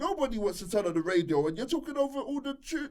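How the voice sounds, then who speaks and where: This man speaks with a London accent at a very fast pace. His pitch is extremely high and swings very widely. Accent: London multicultural English. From southeast London. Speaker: radio DJ and presenter. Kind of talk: casual interview chat. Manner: energetic.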